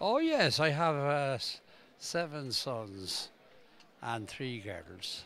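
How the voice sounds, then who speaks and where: A man with an Irish accent, very slow in pace, fairly high-pitched and lively in intonation. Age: 80s+. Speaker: congress attendee, interviewee. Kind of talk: outdoor vox pop interview. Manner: halting.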